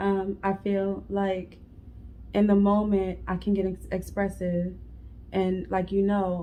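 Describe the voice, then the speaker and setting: A woman's dark, mellow tone comes at a very slow pace. Her intonation stays monotone and flat. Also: medium pitch for a woman. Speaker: married couple channel co-host. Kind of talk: casual chat. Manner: loud.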